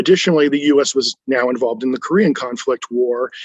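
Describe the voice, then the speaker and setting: A man with an American accent uses an ordinary speaking voice at a fairly high pitch. The sound is dry and close with no echo, and his pitch variation is ordinary. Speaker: US Air Force veteran. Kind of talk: first-person veteran memoir narration.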